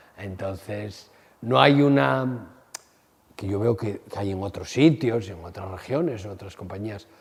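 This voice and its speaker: Speaking at a fairly slow pace, a man with an ordinary speaking voice and a fairly low pitch uses lively intonation and big swings in loudness. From Spain, Asturias. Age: 60s. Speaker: theatre director. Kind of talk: interview.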